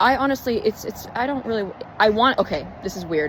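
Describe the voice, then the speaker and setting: A woman talks very fast with lively intonation, noticeable background noise behind her. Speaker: spiritual vlogger. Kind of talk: casual vlog monologue. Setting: outdoors. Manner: halting.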